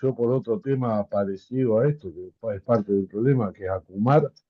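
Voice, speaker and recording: A man speaks at a medium pitch, and his pitch varies in an ordinary way. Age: 60s. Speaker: small business owner. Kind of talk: webinar discussion.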